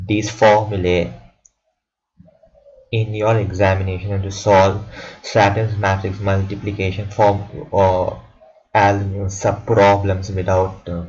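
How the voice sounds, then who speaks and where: A man's fairly low, monotone voice at a very slow pace, with long, frequent pauses and audible room echo. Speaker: student making tutorial video. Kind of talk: tutorial. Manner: halting, with many repetitions.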